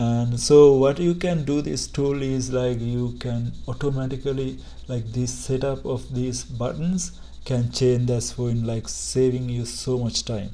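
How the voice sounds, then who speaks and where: There is audible room echo as a man with a non-native accent speaks at a very slow pace. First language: not English. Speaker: tech tutorial youtuber. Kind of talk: screen-share tutorial. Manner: halting, many fillers and restarts.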